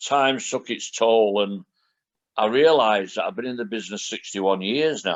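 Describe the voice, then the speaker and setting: The speaker has a Lancashire accent, ordinary pitch variation and a moderate pace. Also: man. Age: 60s. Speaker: retired professional wrestler. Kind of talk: podcast interview.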